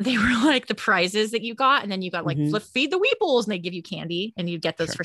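Speaking at a very fast pace, a woman with a Californian accent has a bright, sharp tone. The sound is dry and close, with no echo. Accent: California. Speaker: podcast co-host; teacher. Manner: casual, animated, frequent swearing.

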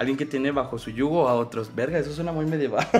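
A man speaks with a Mexican accent at a very fast pace. His pitch varies in an ordinary way. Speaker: podcast host. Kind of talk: casual chat. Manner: animated.

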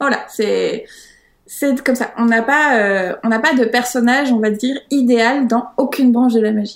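A woman's high voice, fairly slow, with fairly even intonation. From France, Paris. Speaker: witch, author of practice planners. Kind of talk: interview.

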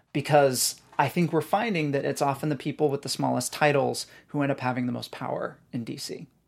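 Speaking at a fairly quick pace with hardly any pauses, a man with an American accent uses a normal speaking voice at a fairly high pitch for a man, with ordinary pitch variation, on a very clean recording with a silent background. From rural Northern California. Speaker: debut novelist. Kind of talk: interview. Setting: studio.

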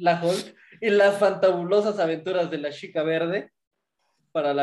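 A man is speaking here. His pitch is high and his intonation fairly even. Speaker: podcast co-host. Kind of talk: casual chat.

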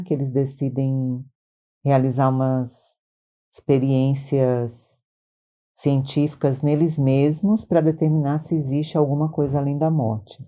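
At a fairly slow pace, a woman with a very deep, low pitch and a dark, mellow tone speaks at very even loudness and with fairly even intonation, on a very clean recording with a silent background. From Maranhão, Brazil. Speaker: podcast host, translator. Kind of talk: casual chat.

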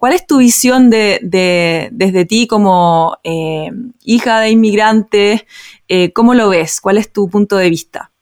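Speaking at a very slow pace, a woman keeps a medium pitch with ordinary pitch variation. The sound is dry and close, without echo. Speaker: podcast host. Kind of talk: casual interview conversation.

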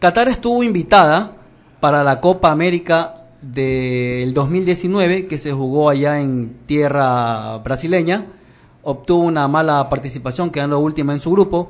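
This is an ordinary speaking voice with ordinary pitch variation. The pace is fairly slow. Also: man, fairly high pitch for a man. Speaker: sports journalist. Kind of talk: casual chat.

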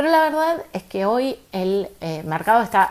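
A woman speaks at a very slow pace. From Argentina. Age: 30s. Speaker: podcast host, entrepreneur coach. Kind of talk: casual monologue with advice.

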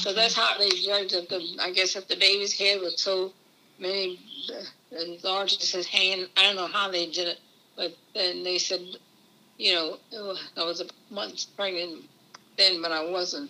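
A woman with an American accent talks at a fairly slow pace and medium pitch. Her intonation is monotone and flat. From Maryland Eastern Shore (Easton), US. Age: 80s+. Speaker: grandmother sharing life story. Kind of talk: interview. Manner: halting.

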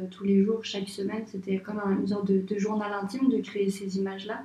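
The woman's pitch is medium. She speaks in a monotone, flat way. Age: 20s. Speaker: architect and illustrator. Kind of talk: interview. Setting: at her home. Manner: halting, many repetitions and fillers.

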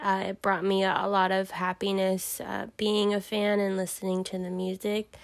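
Speaking with an American accent, a woman keeps a moderate pace with hardly any pauses, her medium-pitched voice monotone and flat. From Southern California, the Valley. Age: 20s. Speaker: insurance worker. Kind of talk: interview. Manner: halting.

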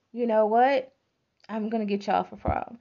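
A female-sounding, put-on character voice comes through raspy and fairly high-pitched. It moves at a moderate pace. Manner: menacing, teasing.

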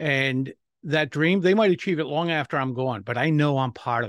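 In a very clean recording with a silent background and a dry, close sound with no echo, a man with an American accent uses a normal speaking voice, ordinary pitch variation and a moderate pace. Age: 60s. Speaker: public speaking coach and author. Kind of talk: interview.

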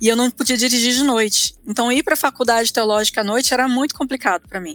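Recorded with a dry, close sound with no echo, a woman with an ordinary speaking voice and fairly high pitch talks at a fairly quick pace with ordinary pitch variation. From Brasília, Brazil. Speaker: theologian. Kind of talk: interview.

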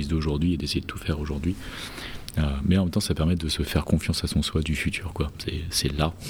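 A man speaks fairly quickly in a very deep, low voice that is somewhat breathy. His intonation stays monotone and flat. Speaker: podcast host. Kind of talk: casual chat. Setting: huge room, under a duvet.

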